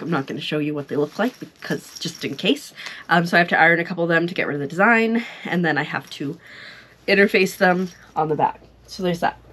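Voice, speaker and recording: A woman speaks in a plain, everyday voice, her pitch fairly low with ordinary variation, at a fairly quick pace. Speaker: vlogger. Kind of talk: casual vlog chat. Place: home room. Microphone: lapel.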